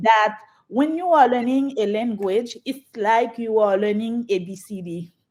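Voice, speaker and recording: Speaking fairly slowly in a Haitian accent, a woman with a fairly high pitch shows big swings in loudness and ordinary pitch variation. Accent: Haitian French-Creole. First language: Haitian Creole and French. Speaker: church executive administrator. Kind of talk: interview answer.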